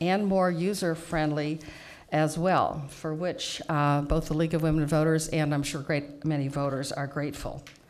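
Moderate pace and fairly low pitch from a woman with an unremarkable speaking voice. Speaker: public speaker. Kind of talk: prepared public testimony. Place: hall. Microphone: podium.

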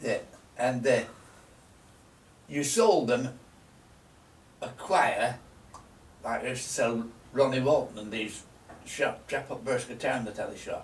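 Over light background noise and audible room echo, a man talks at a fairly slow pace, with long, frequent pauses and big swings in loudness. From Lancashire, northern England. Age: 90s. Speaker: shopkeeper. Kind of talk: reminiscing interview. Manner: halting. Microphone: camera far.

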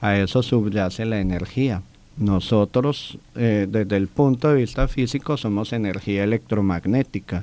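Speaking at a fairly low pitch, a man has a dark, mellow tone. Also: ordinary pitch variation, fairly slow pace. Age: 40s. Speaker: physician and alternative therapist; interview guest, speaker. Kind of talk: interview. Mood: calm, explanatory. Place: studio. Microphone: studio mic.

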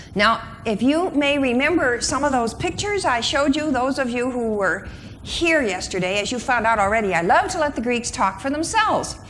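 A woman speaks in a high voice. There is light background noise. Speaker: conference speaker. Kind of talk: lecture. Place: hall. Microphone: lapel.

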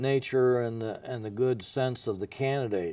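A man speaks in a dark, mellow tone with fairly even intonation. The sound is dry, with no echo. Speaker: former newspaper editor, guest. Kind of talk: interview answer. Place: studio. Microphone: lapel.

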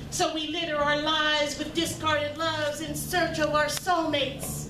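Over noticeable background noise, a woman uses a raised, projected voice. Her intonation is monotone and flat, and her pace is fairly slow. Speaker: featured poet. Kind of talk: spoken word poetry performance. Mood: reflective, earnest. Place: stage.

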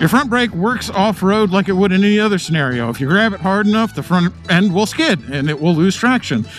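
A man at a fairly quick pace, dry sound with no echo, faint music behind him. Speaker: motorcycle builder vlogger. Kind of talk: casual moto vlog commentary. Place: motorbike. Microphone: helmet.

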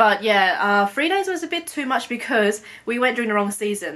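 Speaking at a fairly quick pace, a woman has a bright, sharp tone. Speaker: travel vlogger. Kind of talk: casual vlog chat. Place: home room. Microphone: phone near.

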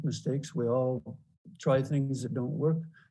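With faint music in the background, a man speaks at a moderate pace with fairly even intonation. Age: 70s. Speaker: panelist. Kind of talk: panel discussion. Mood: reflective, encouraging. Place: home room. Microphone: video call.

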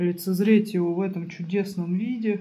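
Speaking fairly slowly with fairly even intonation, a woman has a dark, mellow, somewhat breathy tone. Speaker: home vlogger. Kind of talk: casual vlog chat. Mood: unwell, chatty, a bit weary. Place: home room. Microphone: phone near.

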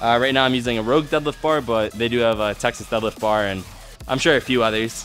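Over faint background music, a man speaks at a fairly quick pace with ordinary pitch variation. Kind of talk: casual vlog chat. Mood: upbeat and excited. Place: gym.

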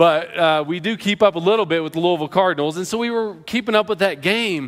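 Over a quiet background, a man talks at a very fast pace. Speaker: pastor. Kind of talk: sermon. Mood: prayerful then storytelling. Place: church. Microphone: headset.

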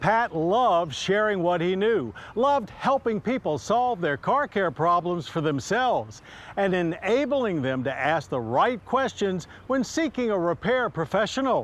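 A man with a high voice speaks at a fairly slow pace, his pitch swinging very widely, in a dry recording with no echo. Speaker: TV show host. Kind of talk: documentary tribute narration. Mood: somber, respectful. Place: open country.

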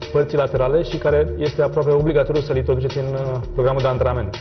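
A man's voice over clear music in the background. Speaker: fitness trainer. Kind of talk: tutorial. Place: gym.

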